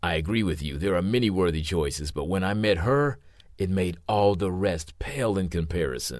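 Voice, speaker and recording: A man's growling, put-on character voice, very deep and low, at a moderate pace. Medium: read story. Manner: proud, snarling.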